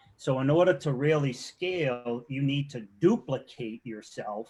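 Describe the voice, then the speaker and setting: A man with a Boston accent at a moderate pace. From Boston, Massachusetts. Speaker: SEO and web development consultant. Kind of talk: casual interview chat. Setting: live video show.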